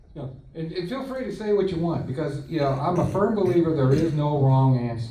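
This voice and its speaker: Audible room echo surrounds speech that moves at a fairly quick pace with ordinary pitch variation. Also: man. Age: 60s. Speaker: whiskey blogger and tasting panel host. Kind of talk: guided tasting panel. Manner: casual, relaxed.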